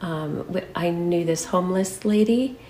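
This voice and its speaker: Amid noticeable background noise, a woman with an American accent speaks fairly slowly at a fairly low pitch, her intonation fairly even. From Michigan, US Midwest. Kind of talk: interview.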